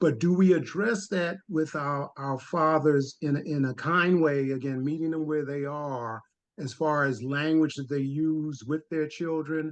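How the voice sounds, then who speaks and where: A man with a plain, everyday voice speaks at a fairly slow pace with hardly any pauses. His pitch is fairly high and his intonation fairly even. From Harlem, New York. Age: 60s. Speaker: audience member, fatherhood practitioner. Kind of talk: question in webinar Q&A.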